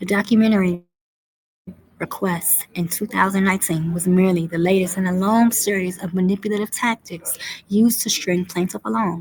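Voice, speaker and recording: A somewhat breathy woman at medium pitch, fairly quick in pace, with fairly even intonation. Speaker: commentary video host. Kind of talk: reading aloud a legal complaint with commentary. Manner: fast.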